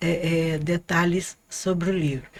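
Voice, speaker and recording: A woman speaks at a very slow pace. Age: 60s. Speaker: author. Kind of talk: podcast interview. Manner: halting.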